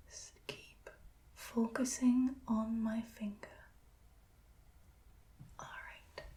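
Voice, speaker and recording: Soft-spoken, a woman talks in a calm, gentle tone at a very slow pace. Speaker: ASMR creator playing an ophthalmologist. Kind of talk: ASMR roleplay, soft spoken eye exam. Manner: soft-spoken, calm, gentle.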